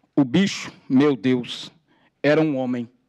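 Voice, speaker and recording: A man's medium-pitched voice with fairly even intonation against a quiet background. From São Paulo, Brazil. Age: 40s. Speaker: activist, formerly homeless; speaker. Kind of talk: testimony. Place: hall. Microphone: podium.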